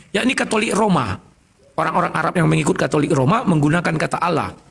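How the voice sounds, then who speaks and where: A man races through his words with noticeable background noise behind him. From North Sumatra, Indonesia. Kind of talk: religious debate. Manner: loud.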